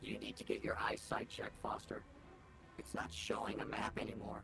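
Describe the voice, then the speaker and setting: A whispering, put-on character voice at a fairly quick pace. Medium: video game. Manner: sarcastic, quick-witted.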